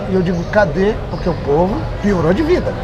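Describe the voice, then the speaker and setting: A high-pitched man speaks at a moderate pace amid noticeable background noise and audible room echo. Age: 60s. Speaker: politician. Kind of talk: interview. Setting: outdoor market.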